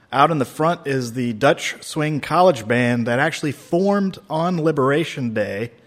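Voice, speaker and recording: This man has a normal speaking voice, fairly high in pitch, with ordinary pitch variation. He goes at a moderate pace with hardly any pauses. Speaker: radio host. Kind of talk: interview.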